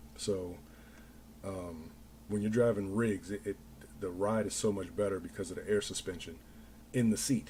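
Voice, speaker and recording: A man's fairly low, dark, mellow voice, somewhat breathy, at a moderate pace with ordinary pitch variation and long, frequent pauses. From Denver, Colorado. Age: 40s. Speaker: livestreamer and small business owner. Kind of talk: casual chat. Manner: halting.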